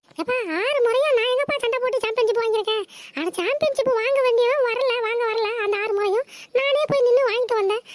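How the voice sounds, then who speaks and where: In a cartoonish character voice, a woman speaks at an extremely high pitch and a moderate pace, with ordinary pitch variation. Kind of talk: comic overacting.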